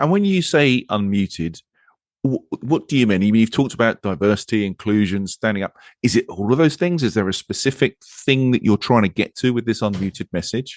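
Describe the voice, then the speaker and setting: A man with an English accent speaks at a medium pitch with lively intonation, recorded with a dry, close sound and no echo. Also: fairly quick pace. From England. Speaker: podcast host. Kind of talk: podcast interview.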